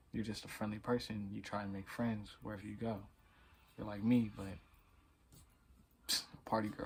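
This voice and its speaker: Somewhat breathy and flat in intonation, the voice moves at a moderate pace. Long pauses come often. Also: man, fairly low pitch for a man. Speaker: vlogger. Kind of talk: storytelling. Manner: stuttering; casual.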